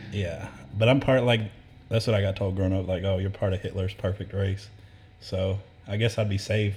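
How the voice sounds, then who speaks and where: A man with a fairly low pitch speaks at a moderate pace in a somewhat breathy, monotone, flat voice, with long, frequent pauses. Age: 20s. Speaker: podcast guest, tattoo client. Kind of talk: casual chat.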